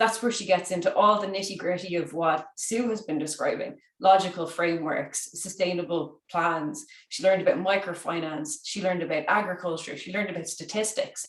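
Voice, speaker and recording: A woman with an Irish accent talks at a fairly quick pace and medium pitch, with ordinary pitch variation and hardly any pauses. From Ireland. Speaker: conference speaker. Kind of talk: conference talk.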